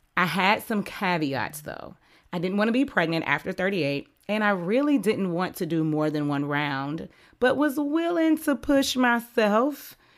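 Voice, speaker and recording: A woman's voice with very wide pitch swings. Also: very clean recording, silent background. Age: 30s. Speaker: podcast host and dating coach. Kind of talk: scripted narration.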